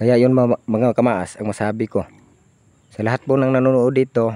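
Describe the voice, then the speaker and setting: Speaking at a moderate pace, a man with a dark, mellow tone keeps a monotone, flat intonation in a dry, close sound with no echo. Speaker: vlogger. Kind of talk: casual vlog talk. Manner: loud.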